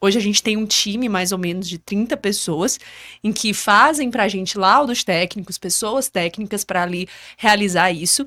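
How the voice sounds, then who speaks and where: A woman with an unremarkable speaking voice talks in a medium pitch at a moderate pace with lively intonation, her sound dry and close with no echo. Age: 20s. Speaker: civil engineer and business owner. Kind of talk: podcast interview.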